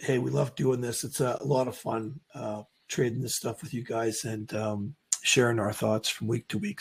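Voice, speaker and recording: A man's voice with vocal fry, in an American accent. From not US. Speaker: trading show host. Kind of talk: casual chat. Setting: livestream. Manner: halting.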